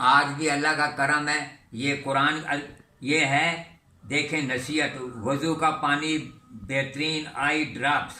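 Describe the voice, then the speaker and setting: The voice has a bright, sharp tone, monotone, flat intonation and very even loudness. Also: man, fairly high pitch for a man. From India, moved to Pakistan in 1947. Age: 80s+. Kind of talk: interview answer.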